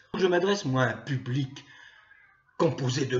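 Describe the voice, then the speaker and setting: Noticeable background noise sits behind a man's voice. He speaks at a medium pitch with lively intonation. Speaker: political commentator, YouTuber. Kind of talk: monologue to camera. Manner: slow; hesitant with frequent euh.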